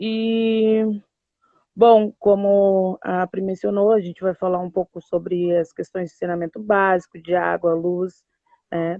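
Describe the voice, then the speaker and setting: A woman at a medium pitch, at a fairly slow pace. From southern Brazil, Porto Alegre. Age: 30s. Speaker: community activist and pedagogy student. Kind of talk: live stream interview. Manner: hesitant, many fillers.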